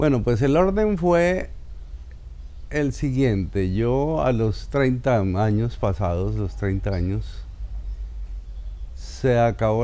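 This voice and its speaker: A man speaks at a very slow pace with lively intonation, and audible room echo is present. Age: 60s. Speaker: actor. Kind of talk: personal life story interview.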